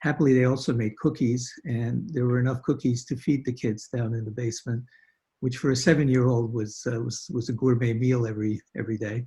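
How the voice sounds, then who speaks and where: Somewhat breathy and dark, mellow in tone, a man's voice sits at a medium pitch. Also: fairly even intonation, fairly quick pace. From Hungary (Budapest), then Brooklyn from age 7. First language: Hungarian. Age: 70s. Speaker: guest telling family history, physician. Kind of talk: testimony. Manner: halting, with many fillers.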